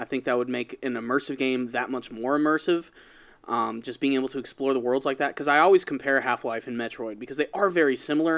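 Talking very fast, a man with a medium pitch and fairly even intonation is heard in a very clean recording with a silent background. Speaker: podcast co-host. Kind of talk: casual chat.

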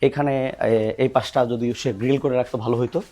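A man with an unremarkable speaking voice. The recording is very clean, with a silent background. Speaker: veterinarian. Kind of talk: field vlog.

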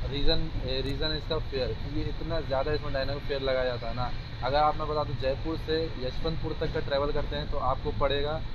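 A man talks at a moderate pace while noticeable noise fills the background. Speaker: travel vlogger. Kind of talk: casual vlog chat. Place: train. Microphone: lapel.

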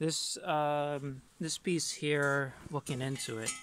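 A man speaks with a dry sound and no echo. Light background noise is present. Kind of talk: casual vlog chat. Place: open country.

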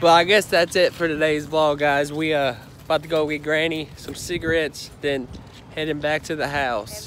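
With fairly even intonation and a moderate pace, a man speaks over light background noise in a dry sound with no echo. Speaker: vlogger. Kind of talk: casual vlog chat. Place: street. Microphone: phone near.

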